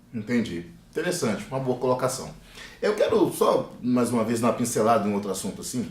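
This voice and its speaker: Over noticeable background noise and audible room echo, a man of medium pitch talks at a fairly quick pace with very wide pitch swings. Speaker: talk show host. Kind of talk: panel discussion.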